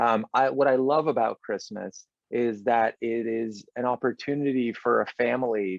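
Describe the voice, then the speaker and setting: With an American accent, the speaker uses an unremarkable speaking voice at a fairly slow pace and with fairly even intonation. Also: man. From Los Angeles, after childhood in London and Israel. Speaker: film director. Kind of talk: interview.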